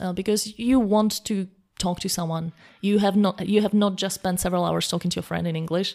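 In a Slovak accent, a woman talks at a fairly quick pace in a medium pitch with a dark, mellow tone and monotone, flat intonation. The recording is very clean, with a silent background. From Slovakia. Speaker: language coach. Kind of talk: interview.

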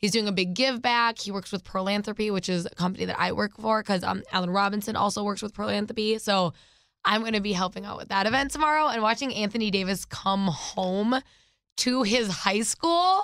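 An animated woman at medium pitch talks at a fairly quick pace with ordinary pitch variation. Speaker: radio host. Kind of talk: casual chat.

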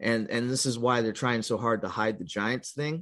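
This is an ordinary speaking voice: a man with an American accent. His pitch is medium, with ordinary pitch variation. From California. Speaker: podcast host, alternative history researcher. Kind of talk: casual interview chat.

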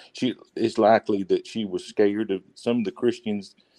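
A man with a Southern US accent speaks in a fairly low, dark, mellow tone, the sound dry and close with no echo. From US South, Alabama. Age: 40s. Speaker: caller. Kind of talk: casual chat.

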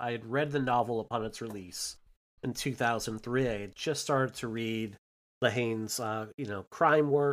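Very cleanly recorded over a silent background, the voice moves at a moderate pace with fairly even intonation and an American accent. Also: man. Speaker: podcast host. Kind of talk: casual chat.

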